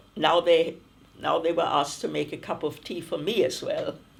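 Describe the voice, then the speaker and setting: Speech moves at a moderate pace. The accent is German. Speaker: refugee interviewee. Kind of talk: oral history interview.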